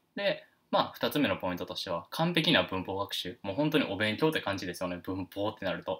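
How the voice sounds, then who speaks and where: With lively intonation, a man with a fairly low pitch speaks at a fairly quick pace. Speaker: English teacher. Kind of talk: lecture. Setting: live stream. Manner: halting, many fillers; stiff, formal.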